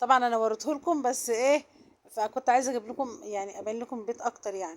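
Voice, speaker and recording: At a very fast pace, a woman speaks in a high pitch. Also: ordinary pitch variation. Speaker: vlogger. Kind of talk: casual vlog narration. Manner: soft-spoken.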